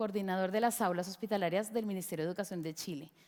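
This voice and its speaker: On a very clean recording with a silent background, a woman speaks in a Colombian accent. Her pitch is medium with ordinary pitch variation. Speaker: education lecturer. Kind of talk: lecture.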